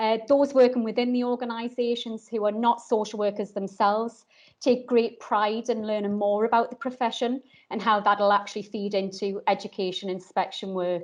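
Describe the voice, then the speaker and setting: A woman with a northeast English accent, at a moderate pace with fairly even intonation, against a quiet background. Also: fairly high pitch for a woman. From northeast England. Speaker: social worker and course inspector. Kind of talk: webinar talk. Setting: online video session. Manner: hesitant, many ums.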